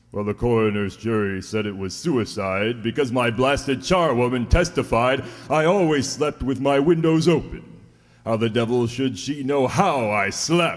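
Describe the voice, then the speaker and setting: A man performs a put-on character voice. He uses a medium pitch and a moderate pace. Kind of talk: 1940s radio acting. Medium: audio drama. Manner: gruff, swearing, nautical commands.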